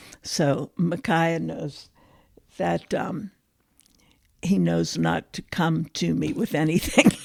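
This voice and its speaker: A woman speaks with an American accent at a very slow pace. Her speech is broken by long, frequent pauses. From Pittsburgh, Pennsylvania, US. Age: 70s. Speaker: psychotherapist. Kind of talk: interview conversation.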